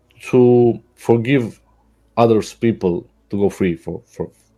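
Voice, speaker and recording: Speaking very slowly with a Serbian accent, a man uses a medium pitch and a dark, mellow tone. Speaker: caller. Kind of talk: heated debate. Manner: halting.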